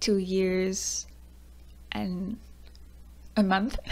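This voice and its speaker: A woman speaks with a Quebec accent. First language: French. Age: 20s. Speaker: YouTuber, student. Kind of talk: personal vlog talk.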